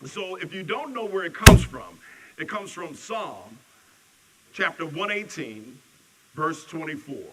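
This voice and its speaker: Noticeable background noise and audible room echo around a man's high voice with very wide pitch swings. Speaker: minister. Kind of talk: sermon. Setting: church service. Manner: loud.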